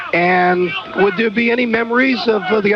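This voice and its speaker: A man speaks in a high voice. Noticeable background noise can be heard behind him. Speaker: radio color commentator. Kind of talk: postgame radio interview.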